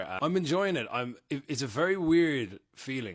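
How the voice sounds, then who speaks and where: In a very clean recording with a silent background, a man with an Irish accent speaks with lively intonation. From Ireland. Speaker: content creator, reality TV alum. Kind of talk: casual vlog update. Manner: casual, filler-heavy.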